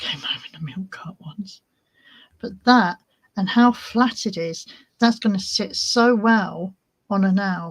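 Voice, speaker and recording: A somewhat breathy woman's voice with a British accent, medium pitch and ordinary pitch variation, very slow with long, frequent pauses and big swings in loudness. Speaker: crafting livestream host. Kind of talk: casual livestream tutorial. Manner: whispering at times.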